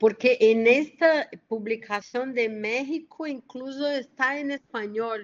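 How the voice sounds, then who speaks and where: A woman talks at a high pitch and a very slow pace. She uses ordinary pitch variation and hardly any pauses. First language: Portuguese (speaking Spanish). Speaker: lecturer. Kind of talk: q&a discussion.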